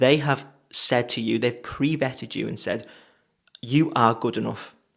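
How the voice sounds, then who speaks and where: The speaker has a Liverpool accent and vocal fry. The recording is very clean, with a silent background. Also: man. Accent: Liverpool (Scouse). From England, Liverpool. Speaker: web designer and business coach. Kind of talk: casual talking-head advice video. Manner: casual, chatty.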